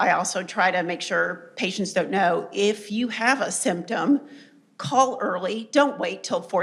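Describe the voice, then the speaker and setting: A woman with a medium pitch talks over noticeable background noise. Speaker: oncology nurse or clinician. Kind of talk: panel discussion.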